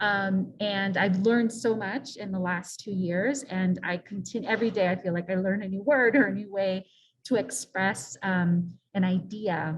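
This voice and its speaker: A somewhat breathy woman's voice at medium pitch, moderate pace and ordinary pitch variation. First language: Spanish. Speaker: non-profit director, panelist. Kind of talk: panel discussion.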